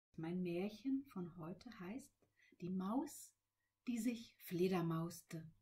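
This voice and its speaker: A woman speaks very slowly in a dark, mellow tone. Her intonation is lively. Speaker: children's librarian. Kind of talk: friendly greeting to children. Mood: warm, cheerful.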